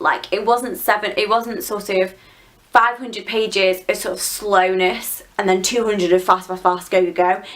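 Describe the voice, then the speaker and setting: Noticeable background noise sits under a woman who talks fairly quickly in a medium pitch with fairly even intonation. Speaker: book reviewer. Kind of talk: casual chat.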